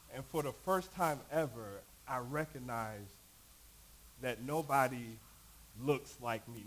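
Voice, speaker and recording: A man with an American accent at a very slow pace and ordinary pitch variation. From Knoxville, Tennessee (US South), New York roots. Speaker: panelist at church discussion evening. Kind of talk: personal story in panel discussion.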